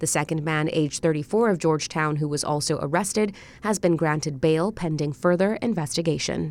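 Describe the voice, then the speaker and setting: With lively intonation and a fairly low pitch, a woman talks in an ordinary speaking voice at a moderate pace. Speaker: radio newsreader. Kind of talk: scripted evening news bulletin read in a brisk, even, formal broadcast cadence. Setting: studio. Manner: formal; measured and steady.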